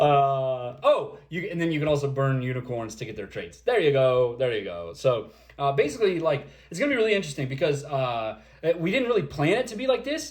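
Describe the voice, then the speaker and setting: A man with a fairly high voice speaks at a fairly quick pace, somewhat breathy, his pitch swinging very widely. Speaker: project founder answering community questions. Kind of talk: livestream Q&A. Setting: livestream. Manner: halting, many fillers.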